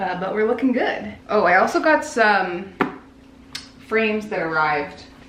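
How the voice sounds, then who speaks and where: The voice moves at a moderate pace with long, frequent pauses and very wide pitch swings. Audible room echo and noticeable background noise surround it. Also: woman, medium pitch for a woman. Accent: American. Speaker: artist vlogger. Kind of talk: casual vlog narration. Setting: art studio.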